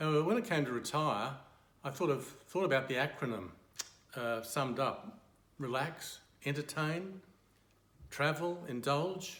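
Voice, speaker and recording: With an Australian accent, a man speaks at a moderate pace in a fairly high pitch, leaving long, frequent pauses, with audible room echo. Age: 70s. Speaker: retired accountant and church member. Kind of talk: testimony.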